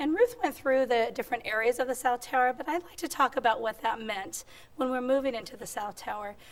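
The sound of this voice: A woman speaks with a squeaky, fairly high pitch. Her pitch varies in an ordinary way at a fairly quick pace.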